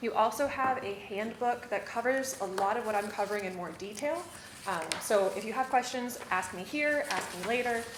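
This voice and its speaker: Noticeable background noise and audible room echo fill the recording. A woman speaks at a fairly high pitch with ordinary pitch variation. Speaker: city secretary giving staff training. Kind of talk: training presentation. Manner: fast.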